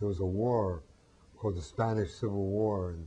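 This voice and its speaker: At a moderate pace, a man speaks at a fairly low pitch with a somewhat breathy, dark, mellow tone and ordinary pitch variation. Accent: American. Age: 70s. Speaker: peace activist. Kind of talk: interview. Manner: hesitant with frequent fillers.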